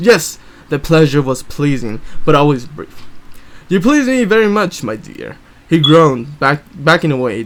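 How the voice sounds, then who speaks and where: Putting on a gruff character voice, a man talks at a moderate pace with a fairly high pitch. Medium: read story. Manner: low, gruff, curt.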